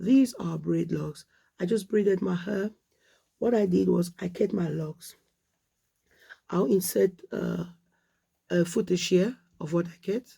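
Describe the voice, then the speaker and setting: Speaking at a fairly slow pace with long, frequent pauses, a woman uses a dark, mellow tone at a fairly low pitch, with vocal fry and ordinary pitch variation. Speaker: hair vlogger. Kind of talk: casual vlog talk.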